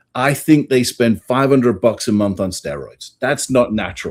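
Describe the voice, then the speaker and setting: His voice sits at a medium pitch. The man keeps a moderate tempo. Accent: English. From England. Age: 50s. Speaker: priest and author. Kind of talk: interview.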